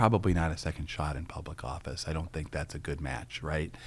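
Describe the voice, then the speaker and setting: In an American accent, a man talks on a very clean recording with a silent background. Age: 50s. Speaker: political candidate and former prosecutor. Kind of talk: interview. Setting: studio.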